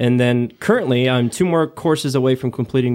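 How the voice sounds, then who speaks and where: A man's ordinary speaking voice, medium in pitch with ordinary pitch variation, at a fairly quick pace and with an American accent. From Nebraska (small town, western). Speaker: fire captain. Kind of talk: casual chat. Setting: home man cave, video recording.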